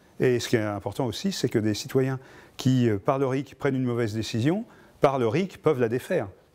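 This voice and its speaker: Pitch shifts in an ordinary way across a very clean recording with a silent background. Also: man, medium pitch for a man, fairly quick pace. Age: 60s. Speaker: activist and electronics engineer. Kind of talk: interview. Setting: filmed interview. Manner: halting, many hesitations.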